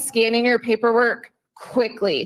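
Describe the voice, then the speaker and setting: The energetic tone comes through at a fairly slow pace. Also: woman. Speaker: payroll staff speaker. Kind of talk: company safety meeting presentation.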